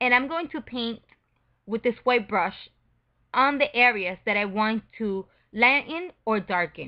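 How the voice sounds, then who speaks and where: Speech comes in a non-native accent at a fairly slow pace with lively intonation. Long pauses break it up frequently. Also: woman, fairly high pitch for a woman. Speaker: photo retouching tutor. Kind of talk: tutorial.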